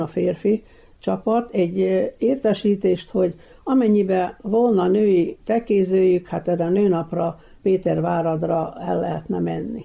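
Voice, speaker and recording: Her pitch medium and her tone dark and mellow with vocal fry, a woman talks at a very slow pace with ordinary pitch variation. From Vojvodina, Serbia (Topolya area). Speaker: retired nine-pin bowler and painter. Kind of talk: interview. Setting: at her home.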